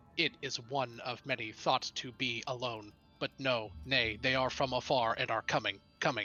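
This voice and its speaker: Over faint music in the background, a man speaks in a put-on character voice. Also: medium pitch for a man, moderate pace. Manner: foreboding, dramatic.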